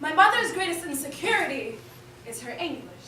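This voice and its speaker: Raising and projecting her voice, a woman speaks with very wide pitch swings amid audible room echo. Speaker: poet. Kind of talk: spoken word performance.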